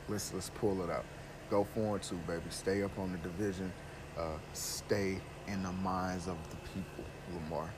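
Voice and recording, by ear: The voice is nasal, with fairly even intonation. Delivery moves at a moderate pace. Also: man.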